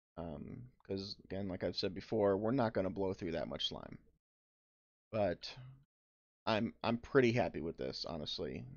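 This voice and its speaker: Using lively intonation and some vocal fry, a man with a fairly low pitch talks at a moderate pace, broken by long, frequent pauses. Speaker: gaming video creator. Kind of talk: gameplay commentary. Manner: hesitant, many fillers.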